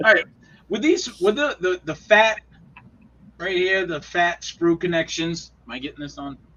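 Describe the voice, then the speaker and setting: A man's high voice at a moderate pace, with lively intonation, big swings in loudness and long, frequent pauses. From Maine (Oakland/Waterville area). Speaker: scale model builder. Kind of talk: casual chat.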